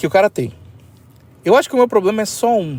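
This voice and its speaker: A man is speaking. The pitch of his voice rises and falls very widely. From Brazil. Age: 30s. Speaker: podcaster. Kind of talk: solo podcast monologue. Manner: halting, slight stammer; casual, rambling.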